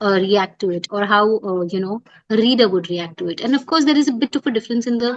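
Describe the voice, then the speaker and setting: A woman with an Indian accent talks at a very fast pace, her pitch fairly high with ordinary variation. The sound is dry and close, without echo. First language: Hindi. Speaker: poet and business writer. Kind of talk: interview.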